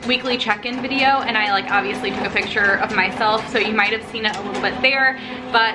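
A woman is speaking. Noticeable background noise is present. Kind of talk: casual vlog chat. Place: home room. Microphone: phone near.

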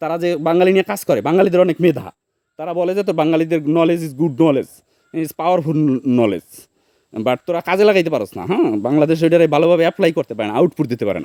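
Captured with a dry, close sound and no echo, a man's high-pitched voice carries a dark, mellow tone and ordinary pitch variation. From Barishal region, Bangladesh (Barguna). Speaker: vlogger. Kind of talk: casual vlog talk. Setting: outdoors in a betel nut orchard.

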